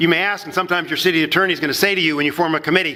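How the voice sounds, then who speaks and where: A man talks over noticeable background noise. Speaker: municipal attorney, ethics speaker. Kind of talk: conference lecture. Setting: conference session with audience. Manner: fast; halting, many repetitions.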